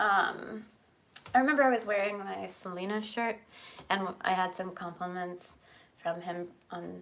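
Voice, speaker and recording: A soft-spoken woman talks at medium pitch with ordinary pitch variation. She keeps a moderate pace, broken by long, frequent pauses. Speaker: horror art and makeup YouTuber. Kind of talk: casual chat.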